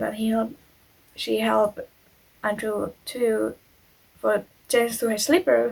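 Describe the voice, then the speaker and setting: This woman has a non-native accent. She speaks at a fairly slow pace. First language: not English. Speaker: YouTuber, true crime storyteller. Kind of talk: reading aloud a story with personal commentary; casual chat to viewers. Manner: halting, stumbles on words.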